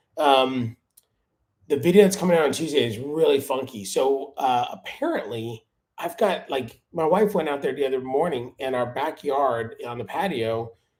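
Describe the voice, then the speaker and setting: With an American accent and a plain, everyday voice, a man speaks at a moderate pace, fairly high in pitch, with lively intonation. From Miami, Florida. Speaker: lawn care YouTuber. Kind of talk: live stream chat. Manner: casual.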